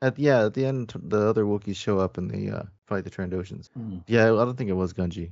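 A man with a plain, everyday voice, fairly low in pitch, with ordinary pitch variation, a fairly quick pace and an American accent. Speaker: podcast panelist. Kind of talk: casual chat. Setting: video call.

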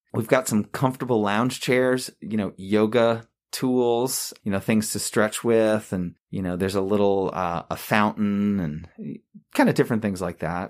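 A man talks with an American accent, at a moderate pace and with ordinary pitch variation. It is a normal speaking voice, on a very clean recording with a silent background. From Long Island, New York. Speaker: hospital chaplain. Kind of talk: casual interview.

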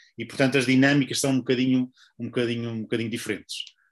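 Against a quiet background, a man talks very fast in a monotone, flat intonation. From northern Portugal. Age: 50s. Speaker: book publisher and author. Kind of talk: interview.

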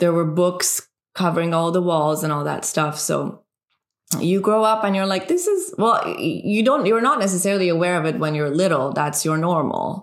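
A woman talks with a Persian accent. Her voice sits fairly low, with ordinary pitch variation. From Iran. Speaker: filmmaker. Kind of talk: casual chat.

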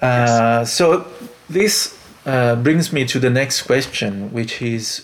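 The delivery is very slow, with lively intonation. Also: man. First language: Italian. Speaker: podcast host, jazz saxophonist. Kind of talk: interview. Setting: video call.

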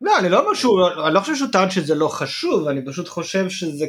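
Talking at a very fast pace, a man with an Israeli accent uses a high pitch and very wide pitch swings. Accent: Israeli Hebrew. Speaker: podcast co-host. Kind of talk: casual chat.

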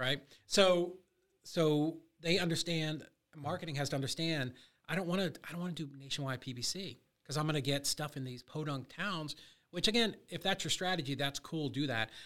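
A man with a plain, everyday voice, fairly high pitch, ordinary pitch variation and a moderate pace. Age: 50s. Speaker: real estate wholesaler and coach. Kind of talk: casual interview chat. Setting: studio.

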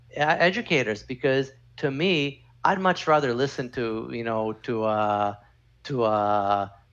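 Against a quiet background, a man talks in a normal speaking voice at medium pitch with ordinary pitch variation. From Canada. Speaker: former lawyer, crypto consultant. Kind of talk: podcast interview.

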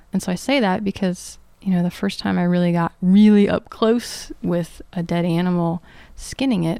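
Speaking at a moderate pace in an American accent, a woman has a plain, everyday voice at medium pitch, recorded very cleanly against a silent background. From US South, Atlanta suburbs. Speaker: permaculture and foraging teacher. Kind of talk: interview.

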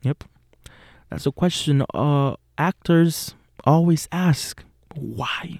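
This man talks at a very slow pace with long, frequent pauses. His fairly high voice has fairly even intonation and a dry, close sound with no echo. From Puerto Rico. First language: Spanish. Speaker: acting student and podcast host. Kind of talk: casual monologue. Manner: hesitant with fillers.

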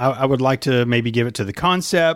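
Medium pitch and ordinary pitch variation from a man

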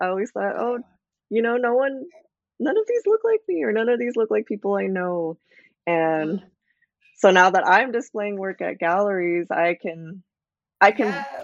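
A woman with an American accent speaks at a medium pitch and a moderate pace. Her pitch varies in an ordinary way, and she takes long, frequent pauses. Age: 20s. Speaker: visual artist. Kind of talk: interview.

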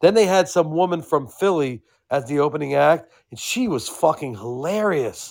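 Here a man talks in a plain, everyday voice at a moderate pace. His intonation is lively, and the recording is very clean with a silent background. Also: fairly high pitch for a man. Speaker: co-host guest. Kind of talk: casual banter.

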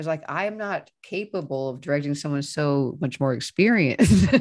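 With an American accent and lively intonation, a woman talks in an ordinary speaking voice over a quiet background. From US Midwest (Kansas City). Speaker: film director. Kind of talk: casual interview. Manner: fast, filler-heavy.

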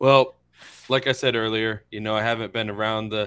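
A man with an American accent and a medium pitch, on a very clean recording with a silent background. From Florida, Inverness. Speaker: podcast co-host. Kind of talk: casual chat.

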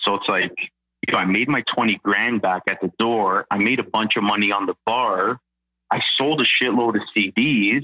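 A man talks at a moderate pace in a normal speaking voice. It sits fairly low in pitch, with ordinary pitch variation and very even loudness. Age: 30s. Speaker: real estate agent, former musician. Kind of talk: casual interview.

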